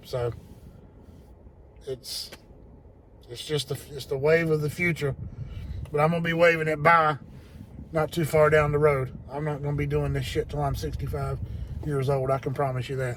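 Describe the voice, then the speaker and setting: Pausing often and at length, a man speaks at a moderate pace and a fairly high pitch in monotone, flat intonation. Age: 50s. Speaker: HVAC technician. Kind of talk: casual vlog talk to viewers.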